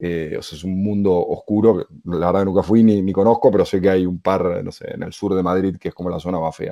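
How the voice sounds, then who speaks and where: Fairly quick and with hardly any pauses, a man's very deep, low voice carries a dark, mellow tone, fairly even intonation and big swings in loudness. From Argentina (Buenos Aires). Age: 30s. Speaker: podcaster. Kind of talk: casual interview.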